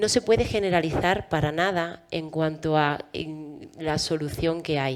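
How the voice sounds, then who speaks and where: A woman in an Andalusian accent speaks at a very deep, low pitch and a fairly slow pace, with ordinary pitch variation and hardly any pauses. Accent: Andalusian Spanish, noticeable. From Andalusia, Spain. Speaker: physician and health procurement administrator. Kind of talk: panel discussion.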